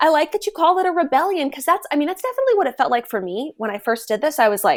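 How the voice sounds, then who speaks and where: Loud and very fast, a woman talks at a high pitch that swings very widely. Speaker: voice actor and freelance creative. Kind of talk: interview.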